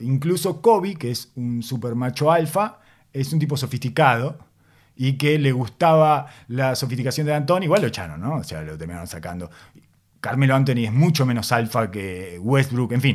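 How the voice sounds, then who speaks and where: A man with a Uruguayan accent at a medium pitch and moderate pace, with very wide pitch swings, on a very clean recording with a silent background. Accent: Rioplatense Spanish (Uruguayan). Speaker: basketball podcast host. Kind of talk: casual chat.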